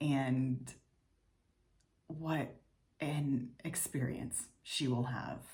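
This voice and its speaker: A woman speaks in a very deep, low voice that is somewhat breathy. Her intonation stays fairly even. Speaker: video diary vlogger. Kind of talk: personal video diary.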